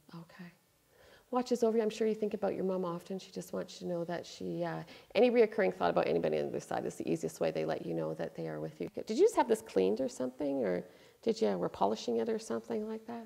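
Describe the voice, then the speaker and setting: Loudness shifts in big swings as a woman talks. She goes at a very fast pace. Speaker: psychic medium. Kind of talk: psychic reading.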